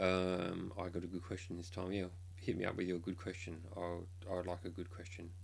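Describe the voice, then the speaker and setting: There is audible room echo around a man's voice. He sounds somewhat breathy, and his intonation is monotone and flat. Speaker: K-pop blogger and streamer. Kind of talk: casual live stream chat. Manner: hesitant, many ums.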